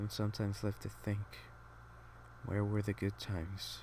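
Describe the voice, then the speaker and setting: Speaking quietly, a man has a fairly low pitch and a dark, mellow tone. His voice is somewhat breathy, at a moderate pace. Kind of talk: casual talk to camera. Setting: home, quiet room with air conditioning hum. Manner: quiet, subdued, reflective.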